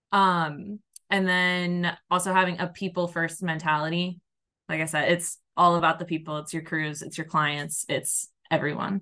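Against a quiet background, a woman speaks at a moderate pace in a fairly low pitch. Her tone is bright and sharp, her intonation monotone and flat. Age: 30s. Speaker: landscaping account manager. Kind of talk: interview.

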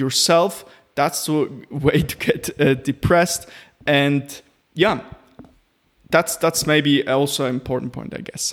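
Here is a man with an unremarkable speaking voice and fairly high pitch. He talks at a fairly slow pace with ordinary pitch variation. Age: 20s. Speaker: ADHD coach and podcaster. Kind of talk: solo podcast monologue.

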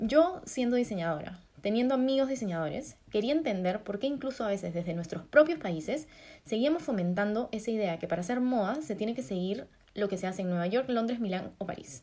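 With a Peruvian accent, a woman talks fairly quickly at a fairly high pitch, her voice swinging very widely. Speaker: fashion designer and podcast co-host. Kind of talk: casual chat.

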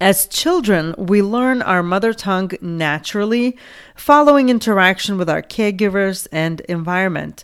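A woman with a Lithuanian accent talks at a moderate pace in a medium pitch. Her intonation is lively. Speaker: podcast host and ESL teacher. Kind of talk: solo educational podcast talk.

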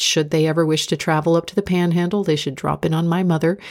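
A woman's very deep, low voice in an American accent. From United States. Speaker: inspirational speaker and podcast host. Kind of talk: reflective spoken essay. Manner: calm, measured.

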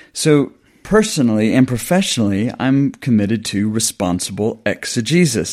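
Over a silent background in a very clean recording, a man with a Southern US accent talks at a moderate pace and medium pitch with lively intonation. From US South. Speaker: New Testament scholar and lecturer. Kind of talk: interview, academic discussion.

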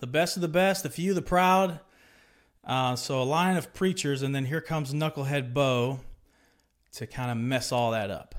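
With an ordinary speaking voice, this man talks fairly high in pitch, and his pitch varies in an ordinary way. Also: moderate pace, very clean recording, silent background. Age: 30s. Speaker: podcast host, former Marine sharing faith testimony. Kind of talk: personal testimony monologue. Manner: conversational with frequent filler words.

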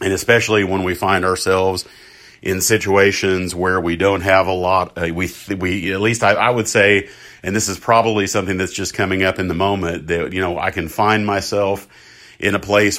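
Very deep and low in pitch, a man speaks in a monotone with flat intonation. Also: very clean recording, silent background. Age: 50s. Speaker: podcast host. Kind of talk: personal reflective monologue. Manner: halting, many fillers and restarts.

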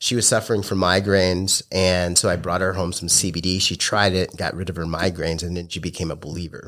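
A man with a very deep, low pitch and an American accent, very fast pace with hardly any pauses, monotone, flat intonation, very clean recording with a silent background. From Massachusetts. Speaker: hemp business owner, Marine veteran. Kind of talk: interview. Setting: studio.

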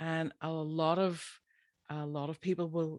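Monotone, flat intonation marks this Irish accent on a very clean recording with a silent background. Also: woman. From Ireland. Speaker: podcast host, animal health practitioner. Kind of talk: casual solo podcast talk.

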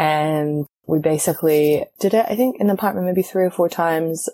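A woman with a New Zealand accent speaks in a very deep, low pitch with ordinary pitch variation. The sound is dry and close, with no echo. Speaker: theatre director and actor. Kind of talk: interview conversation.

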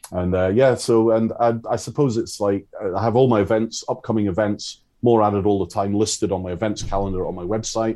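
A man's fairly low voice in a dark, mellow tone, fairly quick and with hardly any pauses, fairly even in intonation, over a quiet background. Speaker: forager and foraging teacher. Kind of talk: casual interview chat. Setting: video call.

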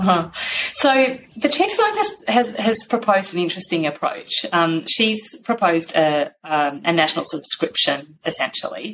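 At a moderate pace, a woman in an Australian accent speaks with lively intonation, a medium pitch and very even loudness. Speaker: science organisation CEO, former journalist. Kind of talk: interview.

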